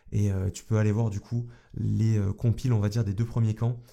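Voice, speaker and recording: Somewhat breathy and dark, mellow in tone, a man delivers his words with monotone, flat intonation. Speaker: YouTube coach. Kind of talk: vlog monologue. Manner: casual, hesitant.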